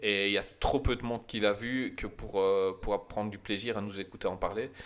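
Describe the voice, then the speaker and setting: A man speaks in a fairly low pitch. His pace is moderate. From Belgium. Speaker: film podcast host. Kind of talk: casual chat. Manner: animated.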